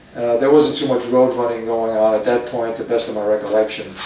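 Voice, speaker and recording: A man with an American accent at a medium pitch and a very fast pace, with audible room echo and noticeable background noise. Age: 80s+. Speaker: retired police officer and marathon runner. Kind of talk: documentary interview. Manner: hesitant, with frequent fillers.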